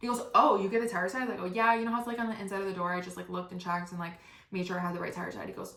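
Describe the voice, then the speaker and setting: Amid noticeable background noise and audible room echo, a woman speaks very fast in an animated tone at a medium pitch. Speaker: podcast host. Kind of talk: storytelling monologue.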